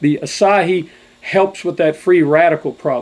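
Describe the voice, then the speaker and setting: A man speaks at a fairly slow pace with a high pitch. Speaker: health products doctor, radio guest. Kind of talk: radio interview, product pitch. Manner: hesitant fillers.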